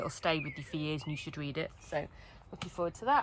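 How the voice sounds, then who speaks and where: A woman's fairly low voice with a Wolverhampton accent, against noticeable background noise. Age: 30s. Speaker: book vlogger. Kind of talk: casual chat. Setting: filming in a tent. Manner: animated.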